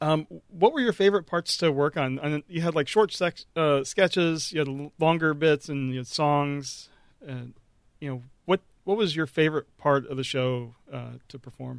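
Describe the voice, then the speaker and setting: A normal speaking voice goes at a moderate pace with ordinary pitch variation. The sound is dry and close with no echo, with big swings in loudness. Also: man, fairly high pitch for a man. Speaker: podcast host. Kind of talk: interview.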